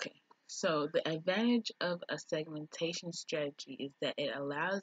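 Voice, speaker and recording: A woman's fairly low voice with a slight Jamaican accent at a moderate pace. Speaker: business student vlogger. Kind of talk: reading aloud from a textbook. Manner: occasional stumbles over words.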